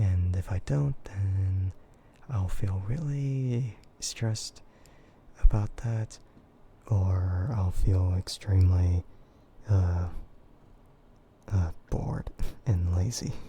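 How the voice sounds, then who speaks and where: Very slow and soft-spoken, the delivery has a relaxed tone, broken up by long, frequent pauses. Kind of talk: casual talk to camera, livestream chat; ASMR soft voice. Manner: soft, relaxed, quiet.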